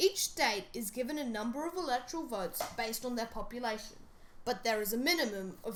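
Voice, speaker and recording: Squeaky and fairly high-pitched, a woman speaks at a moderate pace with lively intonation. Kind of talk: educational explainer narration.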